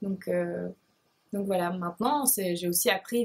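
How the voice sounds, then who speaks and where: In a Belgian accent, a woman speaks at a medium pitch in a somewhat breathy voice, at a moderate pace with ordinary pitch variation. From Belgium, Liège province. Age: 20s. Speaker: beauty blogger. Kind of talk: casual Q&A vlog. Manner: hesitant, many fillers.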